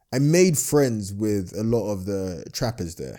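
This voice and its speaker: Speech with a London accent, its pitch swinging very widely. The tone is dark and mellow, recorded very cleanly against a silent background. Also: man. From London, England. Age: 20s. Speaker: entrepreneur. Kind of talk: casual interview chat.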